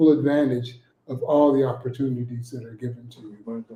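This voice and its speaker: Delivered at a fairly slow pace, the voice is somewhat breathy and has a dark, mellow tone and fairly even intonation. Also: man. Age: 50s. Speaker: guest speaker. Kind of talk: motivational talk. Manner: hesitant, many fillers.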